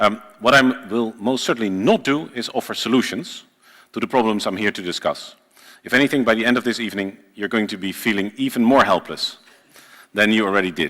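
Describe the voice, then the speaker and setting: A man with a Dutch accent talks at a fairly quick pace, his medium-pitched voice showing ordinary pitch variation. His tone is bright and sharp. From Netherlands. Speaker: journalist and writer. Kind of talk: lecture read from a script. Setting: lecture hall with small audience, live-streamed.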